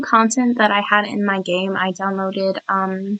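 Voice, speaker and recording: At a fairly slow pace, a woman delivers her words. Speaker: gaming youtuber. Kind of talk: voiceover commentary. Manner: halting, stumbling over words.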